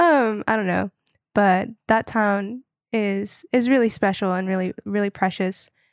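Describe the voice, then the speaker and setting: A woman with an American accent talks at a fairly slow pace in a plain, everyday voice, with ordinary pitch variation and a dry, close sound with no echo on a very clean recording with a silent background. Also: medium pitch for a woman. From North Carolina, Wilmington. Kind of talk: casual faith interview. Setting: in person, Chicago.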